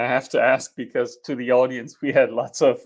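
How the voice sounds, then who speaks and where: In a German accent, a man talks at a moderate pace in a very clean recording with a silent background. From Germany. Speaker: engineering dean. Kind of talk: panel presentation. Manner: hesitant, many fillers.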